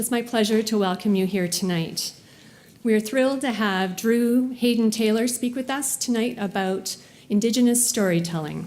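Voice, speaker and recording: At a moderate pace, a woman with a fairly high pitch and ordinary pitch variation talks in an unremarkable speaking voice. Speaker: university lecture series host. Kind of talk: formal event introduction.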